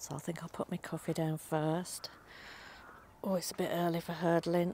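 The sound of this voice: The tone is slightly mellow, the pace is moderate, and the pitch barely moves. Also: woman, fairly low pitch for a woman.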